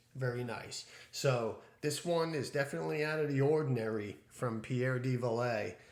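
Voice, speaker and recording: A man at medium pitch speaks in a space with audible room echo. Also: ordinary pitch variation, moderate pace. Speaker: fragrance reviewer. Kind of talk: product review.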